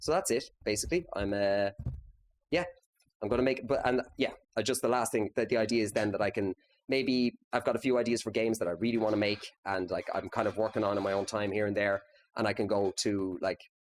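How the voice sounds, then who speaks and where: A man talks at a fairly quick clip, his pitch varying in an ordinary way. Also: fairly low pitch for a man, very even loudness. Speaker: game developer, company founder. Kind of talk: conference talk. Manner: fast; casual.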